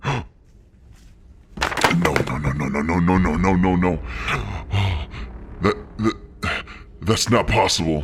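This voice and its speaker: In a put-on character voice, a man talks very deep and low at a fairly slow pace, leaving long, frequent pauses. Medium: read story. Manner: curt, commanding.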